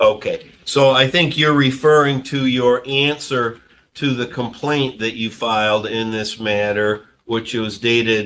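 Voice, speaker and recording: In a normal speaking voice, the speaker goes at a fairly slow pace with hardly any pauses and ordinary pitch variation. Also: man, medium pitch for a man. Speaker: judge. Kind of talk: courtroom ruling from the bench.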